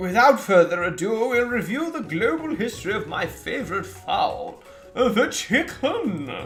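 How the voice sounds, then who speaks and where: A man performs a put-on character voice at an extremely high pitch and a moderate pace, with clear music in the background. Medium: game stream. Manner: apologetic, rambling.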